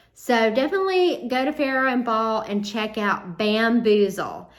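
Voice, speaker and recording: A woman with a Southern US accent speaks at a fairly high pitch with ordinary pitch variation, and the room echo is audible. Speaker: home and DIY vlogger. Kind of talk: casual vlog talk to camera. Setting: outdoors on front porch. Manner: casual, with frequent fillers.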